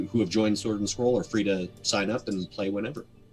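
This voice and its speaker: Over background music, a man talks in a fairly low register. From Canada. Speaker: voice actor and game master. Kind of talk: interview answer.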